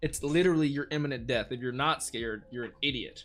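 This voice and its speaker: A man is talking, his pitch varying in an ordinary way. Background music accompanies him. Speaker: anime reaction youtuber. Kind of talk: reaction commentary. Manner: stuttering, rambling excited.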